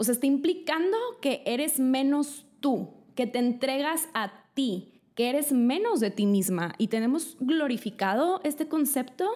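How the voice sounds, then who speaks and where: Speaking at a fairly slow pace, a woman has a high pitch, a dark, mellow tone and very even loudness. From Mexico. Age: 20s. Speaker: lifestyle YouTuber. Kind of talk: vlog monologue. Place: home room. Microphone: studio mic.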